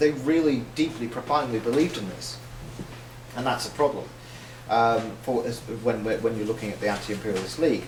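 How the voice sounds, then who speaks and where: A man talks with a Northern Irish accent and ordinary pitch variation. Noticeable background noise sits behind him. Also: medium pitch for a man, fairly quick pace. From Northern Ireland. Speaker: socialist writer. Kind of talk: public lecture.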